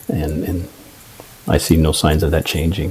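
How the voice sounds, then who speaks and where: A man with an American accent speaks against noticeable background noise. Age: 60s. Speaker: sales manager. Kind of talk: interview.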